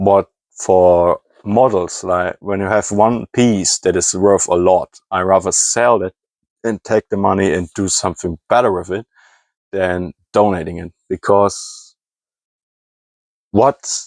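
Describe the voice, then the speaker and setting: A man's fairly low-pitched voice with a German accent and fairly even intonation, at a fairly slow pace, on a very clean recording with a silent background and a dry, close sound with no echo. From Germany. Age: 20s. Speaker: hobby scrapper and YouTuber. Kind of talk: casual vlog monologue. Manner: halting.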